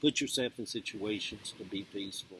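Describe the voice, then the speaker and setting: A man with a Southern US accent. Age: 60s. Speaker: video blogger. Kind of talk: casual monologue. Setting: outdoors.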